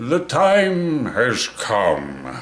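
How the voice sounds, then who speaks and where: A put-on character voice from a man, fairly high in pitch. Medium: read story. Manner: pompous, wheedling.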